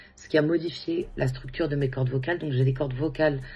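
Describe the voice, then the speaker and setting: Over music in the background, a woman with a very deep, low pitch speaks at a moderate pace with fairly even intonation. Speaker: singer and music therapist. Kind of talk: interview. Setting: at home.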